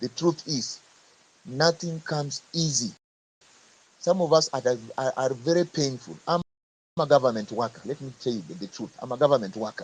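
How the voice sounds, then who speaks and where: At a moderate pace, a man with fairly high pitch and a somewhat breathy voice shows big swings in loudness and long, frequent pauses. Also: ordinary pitch variation. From Kenya. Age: 50s. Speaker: government worker speaking in a live audio forum. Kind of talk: speech to a live audio forum.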